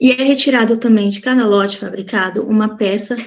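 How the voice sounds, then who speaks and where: A woman speaks at a fairly high pitch and a moderate pace. Her voice is somewhat breathy, with fairly even intonation. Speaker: cosmetics formulation chemist, guest speaker. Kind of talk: online lecture.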